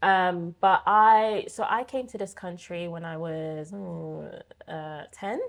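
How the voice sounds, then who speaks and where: Big swings in loudness mark a woman's speech in a British accent. She talks at a very slow pace over a quiet background. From Belgium, then UK from about age nine. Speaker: occupational therapist and public speaker. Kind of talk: casual interview chat.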